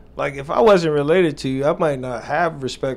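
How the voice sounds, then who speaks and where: The speaker has an American accent and a moderate pace. Noticeable background noise can be heard. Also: man. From New York. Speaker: podcast host. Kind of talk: interview. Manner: casual.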